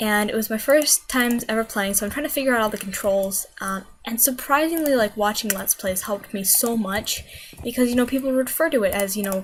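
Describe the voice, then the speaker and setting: Amid noticeable background noise, a woman speaks at a fairly quick pace, fairly high in pitch, with ordinary pitch variation. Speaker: gaming video creator. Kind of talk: gameplay commentary. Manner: casual, hesitant with fillers; quieter than usual.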